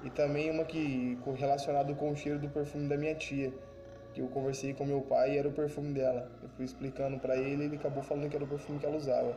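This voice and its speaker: A man talks at a fairly high pitch amid audible room echo and noticeable background noise. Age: 20s. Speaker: podcast host. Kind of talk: personal storytelling.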